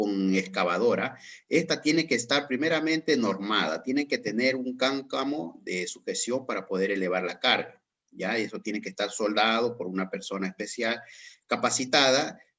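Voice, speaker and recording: Speaking at a moderate pace with lively intonation, this is an ordinary speaking voice. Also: man. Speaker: course instructor. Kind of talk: online class Q&A.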